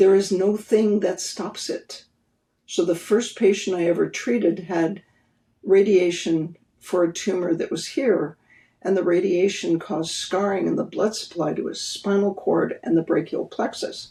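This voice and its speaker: Her voice dark, mellow and somewhat breathy, a woman speaks at a fairly slow pace with fairly even intonation. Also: medium pitch for a woman. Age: 70s. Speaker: therapy pioneer and practitioner. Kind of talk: podcast interview.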